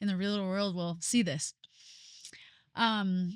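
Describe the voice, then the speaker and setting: At a moderate pace, a plain, everyday voice speaks with ordinary pitch variation, the sound dry and close with no echo on a very clean recording over a silent background. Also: woman. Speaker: podcast host. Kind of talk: casual chat.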